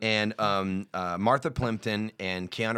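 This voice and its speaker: In a very clean recording with a silent background, a man speaks at a fairly slow pace and a fairly low pitch. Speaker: comedian. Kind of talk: casual chat. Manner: animated.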